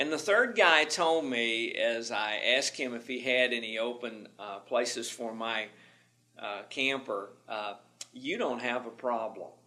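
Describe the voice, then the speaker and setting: Bright and sharp in tone, a man with a Southern accent speaks at a fairly slow pace in a medium pitch, with ordinary pitch variation. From US South, Tennessee. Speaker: management instructor. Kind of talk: lecture. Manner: repetitive stammering.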